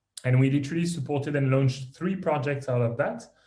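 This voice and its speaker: A man with a French accent speaks in a fairly high, somewhat breathy voice with a dark, mellow tone. His intonation is fairly even, and there is audible room echo. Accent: French accent, milder than years ago. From France, Paris. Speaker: tech startup founder and CEO. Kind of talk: podcast interview.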